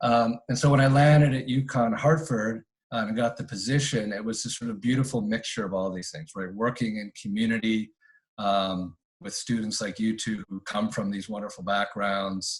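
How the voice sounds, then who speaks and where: This man talks at a moderate pace in a medium pitch with ordinary pitch variation. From Canada. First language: Spanish. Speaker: campus director and history professor. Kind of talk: casual interview. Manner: halting, many fillers.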